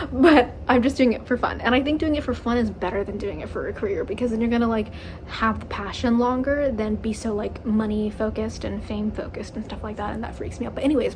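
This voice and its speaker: Very fast, animated speech with hardly any pauses and ordinary pitch variation, plus audible room echo and noticeable background noise. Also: woman, fairly high pitch for a woman. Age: 20s. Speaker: YouTuber. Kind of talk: casual rant to camera.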